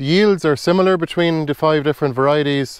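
The voice moves at a fairly quick pace with ordinary pitch variation. The sound is dry with no echo, and the background is quiet. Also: man. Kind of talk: tutorial. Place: garden. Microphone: lapel.

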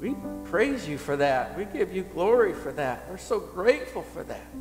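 At a fairly slow pace, a man speaks with faint music in the background. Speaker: pastor leading prayer. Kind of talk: prayer. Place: church. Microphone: headset.

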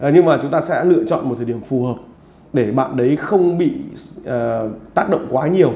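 A man's dark, mellow voice with vocal fry, ordinary pitch variation, and a fairly quick pace, plus audible room echo. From Vietnam. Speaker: football vlogger interviewer. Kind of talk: interview. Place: home room. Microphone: lapel.

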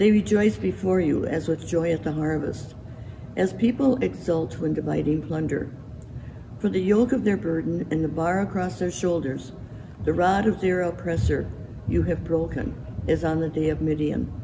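Noticeable noise sits behind speech delivered at a moderate pace. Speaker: scripture reader. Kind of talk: scripture reading. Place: church.

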